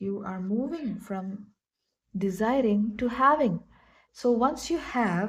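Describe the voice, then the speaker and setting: A woman speaks very slowly with a non-native accent, her voice somewhat breathy. Long pauses come often. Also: ordinary pitch variation. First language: not English. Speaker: tarot reader and astrologer. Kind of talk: tarot reading. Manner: halting.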